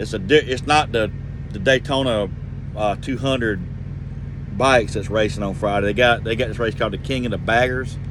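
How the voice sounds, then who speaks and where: Over noticeable background noise and audible room echo, a man with a Georgia accent speaks at a fairly quick pace broken by long, frequent pauses. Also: medium pitch for a man, fairly even intonation. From Georgia, US South. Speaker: truck driver vlogger. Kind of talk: casual vlog monologue. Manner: rambling, conversational.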